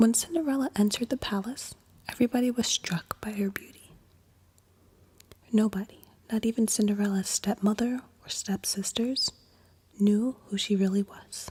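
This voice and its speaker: Pausing long and often, a woman speaks at a moderate pace in a fairly high pitch, her dark, mellow tone gentle and somewhat breathy, with a dry, close sound and no echo. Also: ordinary pitch variation. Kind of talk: bedtime story reading. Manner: soft-spoken, gentle.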